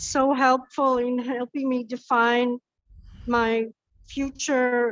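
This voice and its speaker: In a dry, close sound with no echo, a woman speaks in a high, monotone voice with flat intonation. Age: 60s. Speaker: trainer and coach. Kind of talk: casual chat. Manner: halting. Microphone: bad connection, cutting out.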